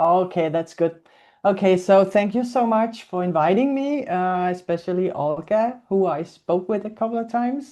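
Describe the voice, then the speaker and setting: A woman's medium-pitched voice with a Danish accent, dark and mellow, with ordinary pitch variation and a quiet background. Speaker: zoo animal welfare and training coordinator. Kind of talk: webinar presentation. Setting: video call. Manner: slow.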